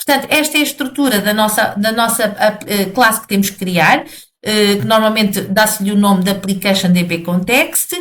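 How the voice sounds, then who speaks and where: Speaking at a moderate pace, a woman at medium pitch shows ordinary pitch variation. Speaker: programming teacher. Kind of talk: video lesson tutorial. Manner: halting, many fillers and repetitions.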